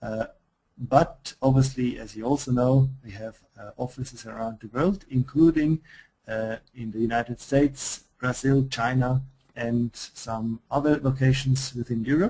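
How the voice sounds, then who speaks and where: A man's somewhat breathy, dark and mellow voice with a Swiss accent, medium in pitch, at a fairly slow pace with fairly even intonation and big swings in loudness. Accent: Swiss accent, noticeable. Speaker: software company presenter. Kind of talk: webinar product presentation. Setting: online webinar. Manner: hesitant, many fillers.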